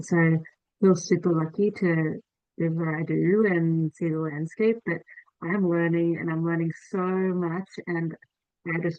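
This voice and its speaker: With an Australian accent, a woman speaks at a fairly slow pace. Her pitch is fairly low and her intonation fairly even. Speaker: event host, invasive species society staff. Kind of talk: online presentation wrap-up. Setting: video call.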